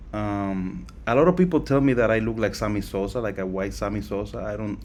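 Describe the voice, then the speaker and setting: In a room with audible echo, a man speaks fairly quickly at a fairly low pitch with ordinary pitch variation. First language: not English. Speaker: crypto project founder. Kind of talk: live Q&A session. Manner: halting, with fillers and repetitions.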